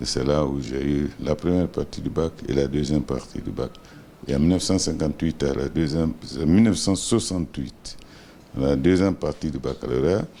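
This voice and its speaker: Speaking at a moderate pace, a man's very deep, low voice shifts in pitch in an ordinary way. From Guinea, Boké region. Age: 70s. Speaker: business executive, former minister. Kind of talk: interview. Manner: hesitant, many fillers.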